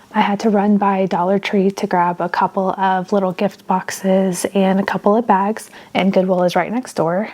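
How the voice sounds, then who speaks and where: A soft-spoken woman at medium pitch and moderate pace, monotone and flat in intonation, with very even loudness. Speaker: craft vlogger. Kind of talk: casual vlog tutorial. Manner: soft-spoken, talking quietly.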